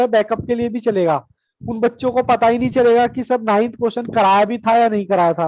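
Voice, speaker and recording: A man with an extremely high voice, fairly even intonation and a moderate pace. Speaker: math teacher. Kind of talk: online class lecture.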